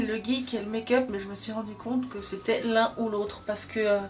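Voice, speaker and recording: Music plays in the background as a woman with a fairly high pitch talks at a moderate pace with fairly even intonation. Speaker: beauty and geek YouTuber. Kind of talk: casual chat.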